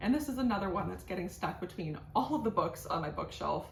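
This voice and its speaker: Noticeable background noise and audible room echo both come through as a woman talks. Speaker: plant content creator. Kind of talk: casual vlog tutorial. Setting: at home, kitchen counter. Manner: halting, stumbling over words.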